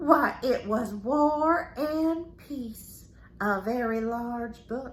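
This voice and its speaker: In a put-on character voice, a woman speaks at a high pitch and a very slow pace, her loudness swinging widely over light background noise. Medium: read story. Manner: folksy, storytelling, peppered with yes ma'am.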